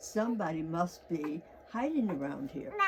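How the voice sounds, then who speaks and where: Through loud background noise, a woman uses a put-on character voice at a fairly low pitch and a moderate pace. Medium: read story.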